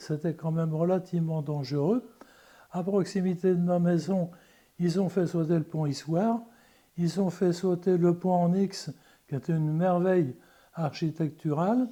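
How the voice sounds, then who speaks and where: The tone is dark and mellow, broken by long, frequent pauses. The recording is very clean, with a silent background. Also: man. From France, Le Mans. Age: 80s+. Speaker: eyewitness of wartime liberation. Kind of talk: testimony. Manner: halting, with repetitions.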